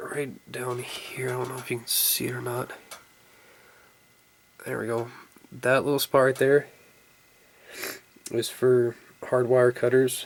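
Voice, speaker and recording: The speaker leaves long, frequent pauses over noticeable background noise. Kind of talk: casual product review to camera. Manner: casual, hesitant with fillers.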